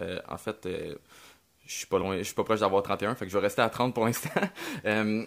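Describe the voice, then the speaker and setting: Fairly quick but with long, frequent pauses, a man speaks at a fairly low pitch. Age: 30s. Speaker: podcast host, adventure filmmaker. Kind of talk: casual chat.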